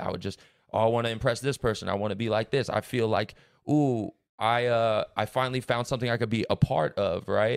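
The recording is very clean, with a silent background. A man talks very fast with fairly even intonation. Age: young. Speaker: podcast host and tattoo artist. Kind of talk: casual chat.

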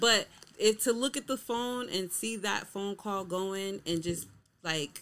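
Speaking in a normal speaking voice, a woman has a medium pitch and ordinary pitch variation. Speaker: podcast guest. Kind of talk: casual chat.

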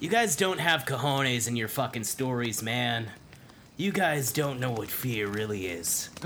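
A man's medium-pitched voice at a fairly slow pace with lively intonation, over noticeable background noise. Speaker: tabletop game master and actor voicing characters. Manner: animated, casual, profane, comedic with laughter.

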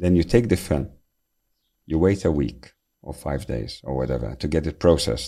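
With vocal fry in a very deep, low, dark and mellow tone, a man speaks at a moderate pace with lively intonation and long, frequent pauses. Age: 50s. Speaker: company CEO. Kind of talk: podcast interview.

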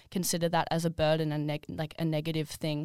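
The recording is dry and close, with no echo at all. It's a woman talking in an Australian accent. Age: 20s. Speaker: podcast co-host. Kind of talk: casual chat.

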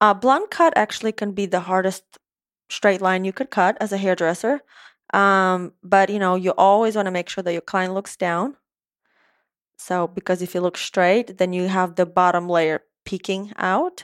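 A woman with an Eastern European accent speaks at medium pitch and a moderate pace. Her intonation is fairly even, and the sound is dry and close with no echo. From Moldova. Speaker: hairstylist and salon owner. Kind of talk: casual interview chat.

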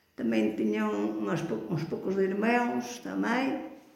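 Room echo is audible, along with noticeable background noise. Through it, a woman talks. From Portugal, Canas de Senhorim (Beira Alta). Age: 80s+. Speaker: grandmother sharing life memories. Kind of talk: oral history interview. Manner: halting, repetitive.

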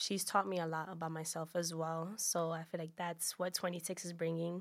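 On a very clean recording with a silent background, a woman with a New York accent talks at a moderate pace in a fairly low pitch. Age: 20s. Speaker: podcast guest. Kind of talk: casual chat.

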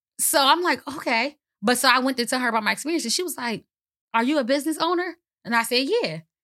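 In a very clean recording with a silent background, a woman talks very fast in a raised, projected voice, high-pitched and with lively intonation. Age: 30s. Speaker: entrepreneur. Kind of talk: casual chat. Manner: laughs often.

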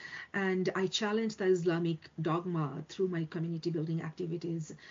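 Fairly low, somewhat breathy woman's voice at a moderate pace, with fairly even intonation. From Bangladesh. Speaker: academic and community leader. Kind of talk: interview. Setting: video call.

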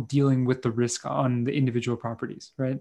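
Over a quiet background, a man with a normal speaking voice and medium pitch talks at a fairly quick pace with fairly even intonation. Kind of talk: casual interview conversation. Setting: video call.

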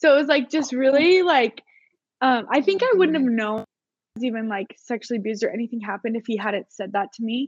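With a high voice and an American accent, a woman talks at a fairly quick pace with lively intonation, in a dry, close sound with no echo. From Utah. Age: 20s. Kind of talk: casual chat.

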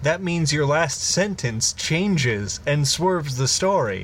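A man with an American accent talks very slowly while clear background noise sounds behind him. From Illinois. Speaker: podcast co-host. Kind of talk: improvised comedic storytelling; casual chat.

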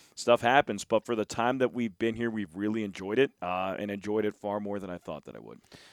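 In a very clean recording with a silent background and a dry, close sound with no echo, a man with an American accent and a normal speaking voice talks at a fairly quick pace with a fairly low pitch, fairly even intonation, big swings in loudness and hardly any pauses. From Philadelphia. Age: 30s. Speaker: baseball broadcaster. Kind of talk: casual chat. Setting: stadium press box.

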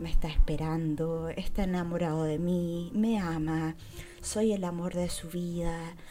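A woman speaks with fairly low pitch at a fairly slow pace. Her intonation is flat and monotone, with audible room echo. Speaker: podcaster. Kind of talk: casual chat.

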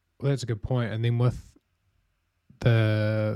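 Over a very clean recording with a silent background, a man with a New Zealand accent speaks in a dark, mellow tone. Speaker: podcast host, marketing manager. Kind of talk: casual chat.

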